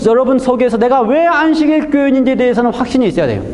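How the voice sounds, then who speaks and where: In a room with audible echo and noticeable background noise, a man talks at an extremely high pitch with fairly even intonation. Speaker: pastor. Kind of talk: sermon. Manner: fast.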